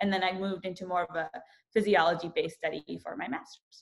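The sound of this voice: A woman's fairly low, fry-tinged voice at a fairly quick pace, with fairly even intonation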